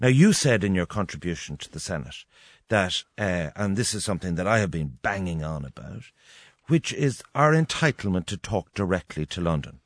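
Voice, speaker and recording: In an Irish accent, a man with a fairly low voice talks at a moderate pace with very wide pitch swings, the sound dry and close with no echo against a quiet background. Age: 50s. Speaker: radio host. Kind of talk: radio interview.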